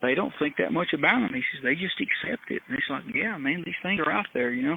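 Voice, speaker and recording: Speaking at a very fast pace, a man with a Southern US accent uses a high pitch and very wide pitch swings. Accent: Southern US (Georgia). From US South, north Georgia. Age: 60s. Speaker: retired criminal investigator and helicopter pilot. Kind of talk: interview, personal storytelling. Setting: remote interview from his backyard.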